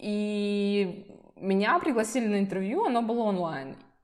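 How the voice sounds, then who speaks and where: Here we hear a woman. Her voice lands at a medium pitch. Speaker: visual designer. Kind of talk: interview. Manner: casual, with fillers.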